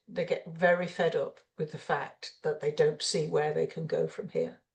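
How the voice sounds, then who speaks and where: Speaking at a moderate pace, a woman talks with an English accent. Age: 70s. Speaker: retired executive and mentor. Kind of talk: interview.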